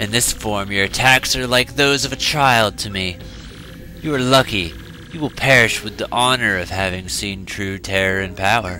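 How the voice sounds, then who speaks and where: A man's put-on character voice, fairly low in pitch, at a moderate pace amid clear background noise. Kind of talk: villain monologue. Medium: solo performance. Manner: imperious, menacing, scornful.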